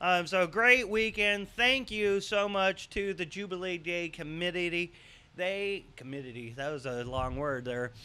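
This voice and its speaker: A man's very slow speech with lively intonation. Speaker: local show host. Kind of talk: casual news show chat. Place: studio. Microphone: studio mic.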